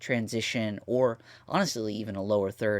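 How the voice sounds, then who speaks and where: In a very clean recording with a silent background, a man speaks in an energetic tone. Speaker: YouTube video editor reviewing plugins. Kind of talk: tutorial walkthrough. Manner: casual, energetic; fast.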